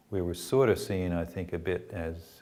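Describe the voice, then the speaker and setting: With a Canadian accent, a man speaks at a moderate pace in a very deep, low pitch and a monotone, flat intonation. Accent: Canadian accent noticeable in Australia. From Canada. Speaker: former club volunteer and parent. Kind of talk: interview testimony. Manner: hesitant, many fillers.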